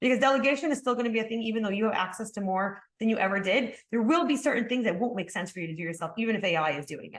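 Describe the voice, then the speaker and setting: Hardly pausing, a woman talks very fast in a fairly high pitch with lively intonation. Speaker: marketing agency founder. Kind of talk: webinar presentation. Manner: halting.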